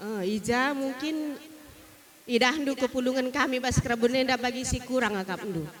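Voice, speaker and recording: Noticeable background noise sits beneath speech delivered at a moderate pace. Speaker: wedding guest giving speech. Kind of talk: ceremonial speech. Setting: wedding party.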